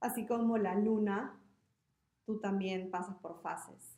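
A woman speaks at a medium pitch with a dark, mellow tone and ordinary pitch variation. Audible room echo surrounds her voice. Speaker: podcast co-host. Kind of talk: casual chat.

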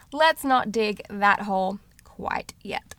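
A woman talks at a fairly slow pace with a fairly high pitch. Her tone is animated, bright and sharp. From Australia. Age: 30s. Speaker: podcast host. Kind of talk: solo podcast introduction.

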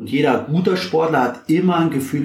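A man talking at a fairly quick pace, with audible echo from the room. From Bavaria, Germany. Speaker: physiotherapist and former ice hockey coach. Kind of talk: casual interview. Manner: hesitant, many filler sounds.

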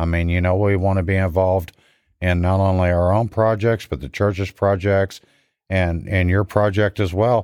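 An unremarkable speaking voice with fairly even intonation and a moderate pace, in a very clean recording with a silent background and dry, close sound with no echo. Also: man. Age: 50s. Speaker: church car ministry leader. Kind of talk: testimony.

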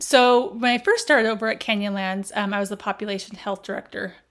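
A woman with an American accent speaks at a very fast pace using fairly even intonation. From Las Vegas, US. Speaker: healthcare operations executive. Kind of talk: casual interview chat. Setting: in person, seated next to host.

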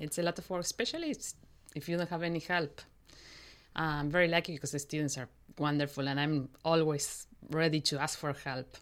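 On a very clean recording with a silent background, a woman with a Spanish accent speaks at a fairly quick pace in a very deep, low pitch with fairly even intonation. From Argentina, Mendoza. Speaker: opera conductor and pianist. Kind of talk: interview. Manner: halting.

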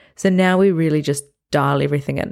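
A woman speaks in a very deep, low voice with an upbeat tone at a fairly quick pace, and the recording is very clean with a silent background. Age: 30s. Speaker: podcast host and bodybuilding competitor. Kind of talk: solo podcast monologue.

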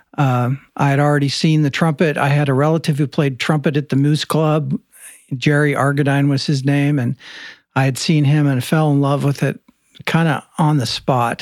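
A man speaks in a plain, everyday voice at fairly high pitch and a moderate pace. His intonation is fairly even and his loudness very even. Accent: American. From US Midwest, central Illinois. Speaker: trumpet professor. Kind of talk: casual interview chat.

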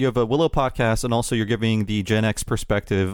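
With an unremarkable speaking voice, a man talks at a fairly quick pace and medium pitch in a very clean recording with a silent background. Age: 40s. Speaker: podcast host. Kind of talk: casual chat.

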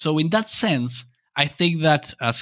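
A man with an Argentine accent speaks at a moderate pace with lively intonation in a very clean recording with a silent background. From Argentina. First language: Spanish. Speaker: nonverbal behavior researcher. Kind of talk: interview. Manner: halting, hesitant.

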